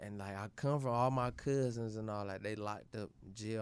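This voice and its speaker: On a very clean recording with a silent background, a man with a plain, everyday voice speaks at a moderate pace with fairly even intonation. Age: 20s. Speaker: boxer. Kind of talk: casual chat.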